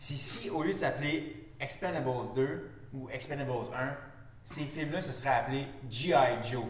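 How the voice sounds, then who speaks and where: A man's fairly high voice at a fairly slow pace, with long, frequent pauses and ordinary pitch variation, amid noticeable background noise and audible room echo. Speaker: podcast co-host. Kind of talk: casual chat. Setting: office of a host's employer. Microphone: echo in the room.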